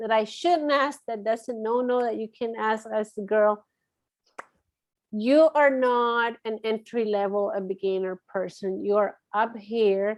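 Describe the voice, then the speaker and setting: The speaker has a Latin American accent. Pitch varies in an ordinary way. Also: woman, fairly high pitch for a woman, fairly slow pace. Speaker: marketing firm owner. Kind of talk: interview conversation. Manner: hesitant, many fillers.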